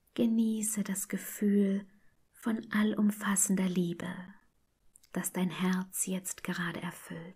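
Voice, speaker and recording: Very slow and monotone, the voice is dark, mellow and somewhat breathy, broken by long, frequent pauses. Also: woman, medium pitch for a woman. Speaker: meditation guide. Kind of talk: guided meditation. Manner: calm, soothing.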